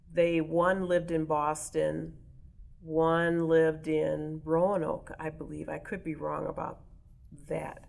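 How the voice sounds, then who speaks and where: With an American accent, a woman speaks slowly-ish at a fairly slow pace, with a fairly low pitch and monotone, flat intonation. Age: 60s. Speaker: oral history interviewee. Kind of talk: interview.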